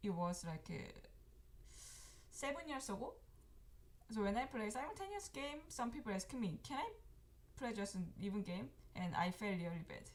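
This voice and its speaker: A woman speaks with a Korean accent at a moderate pace. Her speech has long, frequent pauses. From South Korea. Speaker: professional Go player and teacher. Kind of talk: live game commentary. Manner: halting.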